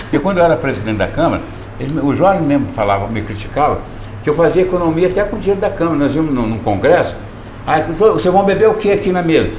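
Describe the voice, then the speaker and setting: Over noticeable background noise and audible room echo, the speaker talks very fast with very wide pitch swings. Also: man, fairly high pitch for a man. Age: 70s. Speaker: former city councillor. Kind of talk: interview.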